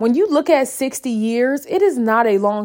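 An animated tone at a moderate pace. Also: woman. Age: 30s. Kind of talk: faith devotional monologue.

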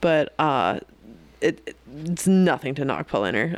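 A woman with an American accent and ordinary pitch variation, on a very clean recording with a silent background. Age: 30s. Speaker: beer podcast co-host. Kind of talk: casual chat.

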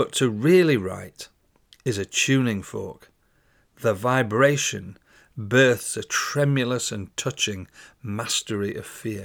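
A man with a British accent speaks very slowly, with ordinary pitch variation, on a very clean recording with a silent background. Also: medium pitch for a man, big swings in loudness. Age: 60s. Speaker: podcast host and poet. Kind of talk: poetry reading, spoken word, then reflective solo talk. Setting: solo recording. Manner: measured, declamatory, rhythmic, intense delivery.

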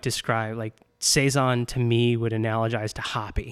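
A man with an American accent speaks in a plain, everyday voice at a medium pitch. His moderate pace comes through on a very clean recording with a silent background. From Chicago suburbs, Illinois. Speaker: brewery owner and brewer. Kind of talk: casual interview.

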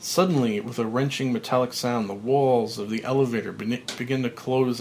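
Reading aloud in a natural voice. The intonation is fairly even.

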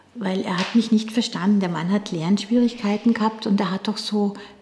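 A woman's fairly high voice keeps fairly even intonation, with noticeable background noise behind her. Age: 60s. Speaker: dance teacher. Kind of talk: interview.

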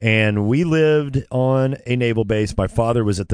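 Here a man with an American accent talks at a moderate pace, with ordinary pitch variation and a normal speaking voice. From California. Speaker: sports radio host. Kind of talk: storytelling.

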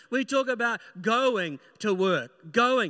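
A man's bright, sharp, raised and projected voice with lively intonation, on a very clean recording with a silent background. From New Zealand. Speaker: pastor. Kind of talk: sermon. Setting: church.

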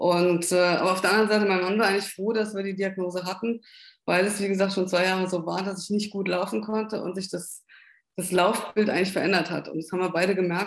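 Speaking very fast, a woman keeps a medium pitch and a monotone, flat intonation. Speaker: Parkinson patient and patient advocate. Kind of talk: interview.

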